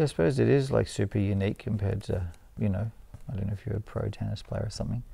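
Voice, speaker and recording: A man speaks very fast in a fairly low voice with vocal fry. His tone is dark and mellow, with ordinary pitch variation. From Australia. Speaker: street artist and painter; interviewee. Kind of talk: casual interview. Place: studio. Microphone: lapel.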